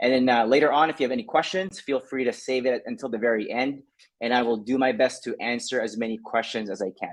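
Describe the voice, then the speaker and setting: A man at a very fast pace, medium in pitch, with ordinary pitch variation. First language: not English. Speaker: social skills coach. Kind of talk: online talk presentation. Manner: casual, many fillers.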